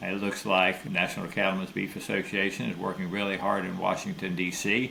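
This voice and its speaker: With a Florida accent and a very deep, low pitch, a man speaks at a fairly quick pace and with fairly even intonation against noticeable background noise. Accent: US Southern (Florida). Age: 70s. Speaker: rancher. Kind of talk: interview.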